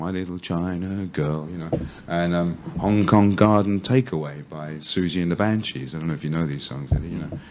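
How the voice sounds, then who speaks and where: A man with a very deep, low voice talks at a fairly quick pace. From London, England. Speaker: English teacher. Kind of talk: casual chat. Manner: lots of fillers like you know.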